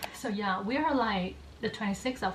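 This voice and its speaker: There is noticeable background noise as a woman speaks with a Vietnamese accent. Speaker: book youtuber. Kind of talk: casual chat. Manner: casual, filler-heavy.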